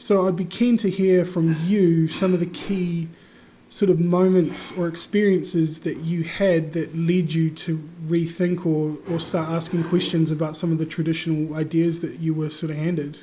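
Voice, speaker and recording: In a New Zealand accent, a man with a high pitch talks at a moderate pace with monotone, flat intonation amid audible room echo. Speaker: podcast host. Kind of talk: interview. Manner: casual, hesitant.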